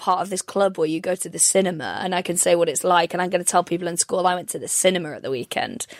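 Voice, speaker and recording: A woman of medium pitch speaks at a very fast pace with fairly even intonation, in a dry, close sound with no echo. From North Wales. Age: 30s. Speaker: comedian. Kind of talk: casual chat. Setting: video call.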